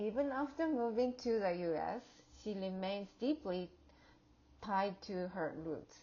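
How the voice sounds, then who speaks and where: A woman with a non-native accent speaks at medium pitch and a fairly slow pace, leaving long, frequent pauses. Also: lively intonation. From outside the US. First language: not English. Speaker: graduate student and educator. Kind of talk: class project presentation. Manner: halting, with fillers and restarts.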